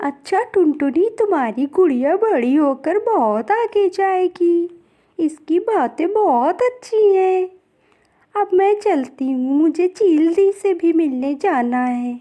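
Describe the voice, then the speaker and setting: Using a cartoonish character voice, a woman speaks at a very slow pace with an extremely high pitch. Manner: chatty, lively.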